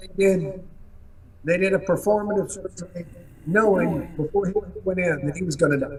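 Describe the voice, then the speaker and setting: A man's high-pitched voice with fairly even intonation and a fairly quick pace, broken by long, frequent pauses, over noticeable background noise. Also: big swings in loudness. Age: 60s. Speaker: bereaved father and advocate. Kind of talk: interview.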